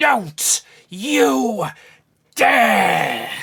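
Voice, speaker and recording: A put-on character voice, growling and shrill, at a middle pitch. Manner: commanding, furious.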